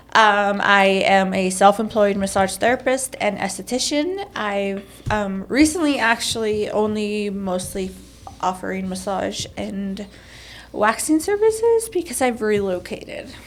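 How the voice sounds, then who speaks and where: A woman with an American accent uses a plain, everyday voice at a medium pitch, with ordinary pitch variation and a fairly slow pace. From Mexico then New Mexico and Colorado. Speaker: massage therapist, former school board member. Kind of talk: podcast interview.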